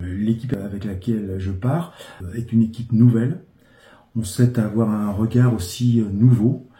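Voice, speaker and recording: The pace is moderate, and the voice is somewhat breathy. Pitch varies in an ordinary way. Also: man, medium pitch for a man. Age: 60s. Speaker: local election candidate. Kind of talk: interview. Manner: hesitant, frequent filler sounds.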